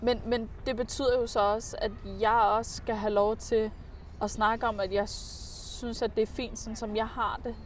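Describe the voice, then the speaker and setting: Very slowly and with long, frequent pauses, a woman speaks in a fairly high, monotone voice with flat intonation. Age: 30s. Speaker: comedian. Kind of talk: casual chat. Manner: halting.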